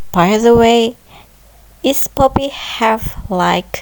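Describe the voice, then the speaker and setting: The speaker is a woman. She talks with a non-native accent. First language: not English. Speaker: gameplay commentator. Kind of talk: casual solo commentary. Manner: hesitant, thinking aloud.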